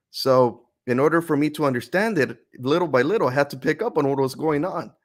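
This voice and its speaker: A man with a Spanish accent talks at a moderate pace. His intonation is lively, and the recording is very clean with a silent background. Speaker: author and youtuber. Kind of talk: interview, personal story. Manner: fluent, explanatory.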